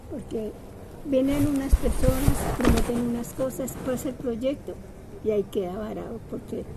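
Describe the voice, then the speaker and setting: Over noticeable background noise, a woman speaks at a high pitch and fairly slow pace with ordinary pitch variation. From Bogotá, Colombia. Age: 80s+. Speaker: neighborhood resident, community culture participant. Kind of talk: street interview. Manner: halting, with repetitions.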